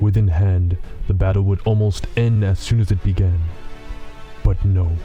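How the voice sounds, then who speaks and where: With clear music in the background, a man performs a cartoonish character voice at a very deep, low pitch and a moderate pace. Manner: cold, measured, menacing.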